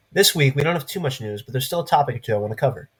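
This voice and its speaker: A man talks with lively intonation and a somewhat breathy voice. The recording is very clean, with a silent background. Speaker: news show host. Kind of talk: scripted news commentary. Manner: sarcastic.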